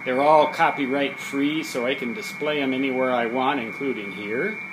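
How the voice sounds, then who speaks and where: Over noticeable background noise and audible room echo, a man talks in a relaxed tone at a moderate pace, with a fairly high pitch and ordinary pitch variation. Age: 60s. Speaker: electronics hobbyist and author. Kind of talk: casual video tour. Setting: basement hobby lab. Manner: relaxed, hesitant with fillers.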